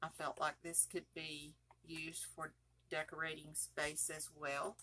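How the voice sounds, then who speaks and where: With vocal fry and a bright, sharp tone, a woman speaks at a fairly slow pace in a very deep, low pitch. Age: 70s. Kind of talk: tutorial. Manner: casual, chatty.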